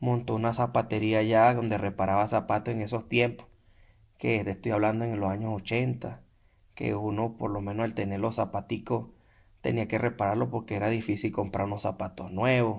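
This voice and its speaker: At a fairly quick pace, the speaker talks in a Venezuelan accent with vocal fry and monotone, flat intonation, on a very clean recording with a silent background. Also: man, fairly low pitch for a man. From Venezuela, San Carlos, Cojedes. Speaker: podcast guest, Venezuelan immigrant. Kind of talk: casual interview chat.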